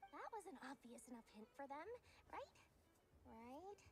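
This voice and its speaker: In a put-on character voice, a female-sounding voice at a high pitch moves at a moderate pace over clear background noise. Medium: video game. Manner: theatrical, wheedling, salesy.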